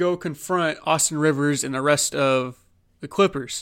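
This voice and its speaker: A normal speaking voice from a man with an American accent, a fairly high pitch, ordinary pitch variation, and a fairly slow pace, on a very clean recording with a silent background. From Oklahoma. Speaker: sports podcast host. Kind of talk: casual solo sports commentary. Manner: conversational with many fillers.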